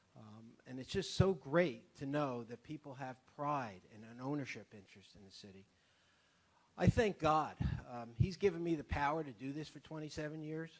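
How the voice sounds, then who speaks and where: With an ordinary speaking voice, a man at a fairly high pitch shows ordinary pitch variation and big swings in loudness. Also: moderate pace. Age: 60s. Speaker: city council member leaving office. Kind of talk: farewell speech at council meeting.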